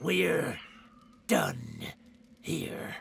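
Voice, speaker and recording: A man's put-on character voice, growling and raspy, at a medium pitch. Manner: growling through gritted teeth, sullen.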